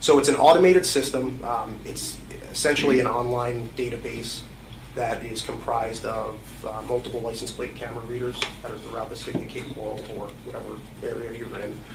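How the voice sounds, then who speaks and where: A man at a medium pitch, talking at a fairly quick pace with fairly even intonation and big swings in loudness, plus audible room echo and noticeable background noise. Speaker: police detective testifying as witness. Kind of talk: courtroom testimony. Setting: courtroom witness stand. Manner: hesitant, many fillers; soft-spoken.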